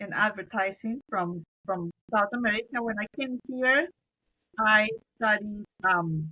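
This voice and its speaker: A woman with a Spanish accent, fairly high-pitched, her tone bright and sharp, at a fairly slow pace. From Colombia. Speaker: business owner. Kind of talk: interview.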